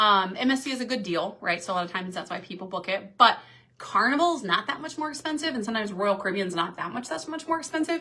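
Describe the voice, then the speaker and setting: Noticeable background noise runs behind a woman who speaks very fast in an animated tone with lively intonation. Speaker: cruise vlogger and professor. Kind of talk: live stream Q&A. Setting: on a cruise ship. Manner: casual, animated.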